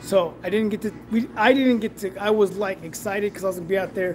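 A man's high voice at a very fast pace, fairly even in intonation, with music in the background. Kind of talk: casual live stream chat. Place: workshop. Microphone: phone near.

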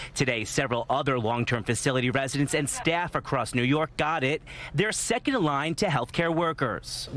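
An unremarkable speaking voice from a man, fairly high in pitch, at a fairly quick pace with lively intonation, dry with no echo and light background noise. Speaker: TV news reporter. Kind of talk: live TV news report.

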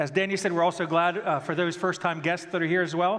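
Against a quiet background, a man speaks at a high pitch with monotone, flat intonation. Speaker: church pastor. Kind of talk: sermon. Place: church. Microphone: headset.

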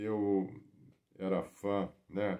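A man speaks with a very deep, low pitch and a dark, mellow tone. The background is quiet. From Brazil. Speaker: retired visual artist and video blogger; storyteller. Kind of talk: casual personal storytelling to camera. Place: home room. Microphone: phone near.

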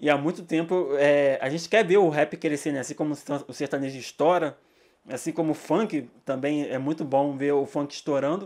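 Here a man talks at a moderate pace with ordinary pitch variation. The background is quiet. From Brazil, São Gonçalo (Rio de Janeiro); Rio de Janeiro, Brazil. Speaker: music journalist and social media manager; hip-hop course teacher. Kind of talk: lecture. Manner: casual, slangy. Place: home room. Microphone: studio mic.

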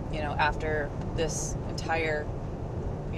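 Loud noise fills the background while a woman talks. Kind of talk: casual vlog chat. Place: car. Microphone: camera far.

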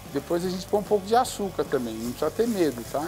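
Faint music sits in the background. Over it, a man speaks. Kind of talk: cooking tutorial. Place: kitchen. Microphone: lapel.

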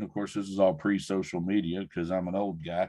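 A man talks at a fairly quick pace, his pitch varying in an ordinary way. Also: quiet background. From US, rural Oklahoma (Mustang); Oklahoma. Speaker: education professor. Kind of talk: talk and Q&A in an online webinar. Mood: relaxed, good-humoured. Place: office. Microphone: video call.

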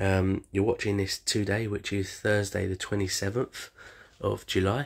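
With a quiet background, the man talks in a fairly low voice. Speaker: home cook vlogger. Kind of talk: casual vlog chat. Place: kitchen. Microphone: phone near.

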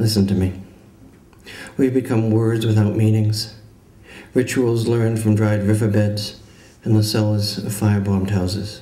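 Long, frequent pauses mark a man's monotone, flat delivery, heard with audible room echo. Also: fairly low pitch for a man, moderate pace. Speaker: poet giving a reading. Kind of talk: poetry reading. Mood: grave, measured. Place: hall. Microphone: podium.

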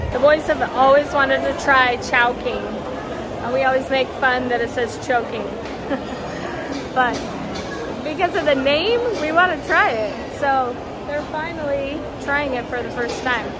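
Over crowd noise in the background, a woman talks at a fairly slow pace with long, frequent pauses and ordinary pitch variation. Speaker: family travel vlogger. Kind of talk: casual vlog chat. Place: shop. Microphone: phone near.

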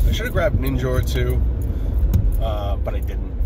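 Loud background noise surrounds a man whose voice sounds dry, with no echo. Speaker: toy collector vlogger. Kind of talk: casual vlog chat. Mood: relaxed, chatty. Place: car. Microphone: phone near.

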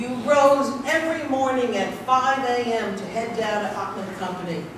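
A woman with an American accent talks in a high pitch with lively intonation. Strong room echo and noticeable background noise fill the recording. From New York City. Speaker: speaker at a history talk; speaker. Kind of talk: public lecture. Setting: room with live audience. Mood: tender tribute to father. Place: hall. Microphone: camera far.

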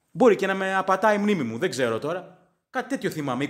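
A man with an English accent, high-pitched, with very wide pitch swings at a moderate pace. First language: English (speaking Greek). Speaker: sports fan podcaster. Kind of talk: casual sports commentary monologue.

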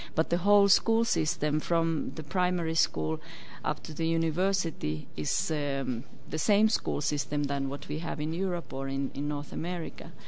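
A woman's very deep, low voice with ordinary pitch variation at a moderate pace, dry with no echo, over light background noise. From Finland. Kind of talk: interview. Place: studio. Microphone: studio mic.

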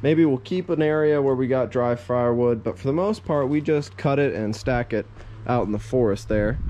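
His pitch shifts in an ordinary way. The man's pace is moderate. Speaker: DIY vlogger. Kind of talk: casual vlog chat. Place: workshop. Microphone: phone near.

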